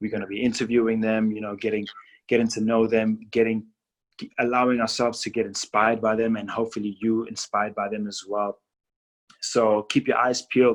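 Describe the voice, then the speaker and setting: A man with a non-native accent talks at a fairly quick pace in a monotone, flat intonation. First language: not English. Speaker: podcast host. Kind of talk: casual interview.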